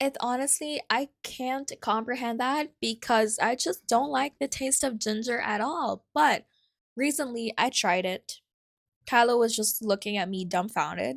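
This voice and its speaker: A woman with a Filipino accent, fairly high-pitched and fairly slow, with ordinary pitch variation, in a very clean, dry, close recording with a silent background and no echo. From Philippines. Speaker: podcast host. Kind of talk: casual solo podcast talk. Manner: chatty, conversational.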